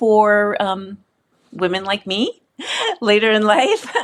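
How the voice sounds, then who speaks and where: In a plain, everyday voice, a woman speaks at a fairly slow pace and medium pitch with ordinary pitch variation, recorded very cleanly against a silent background. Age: 60s. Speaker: journalist and author. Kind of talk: interview.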